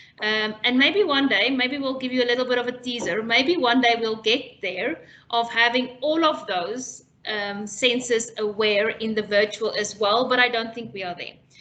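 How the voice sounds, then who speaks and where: Against noticeable background noise, a woman talks at a moderate pace with hardly any pauses, her fairly high voice showing ordinary pitch variation. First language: not English. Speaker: international education specialist. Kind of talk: webinar presentation. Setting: online webinar.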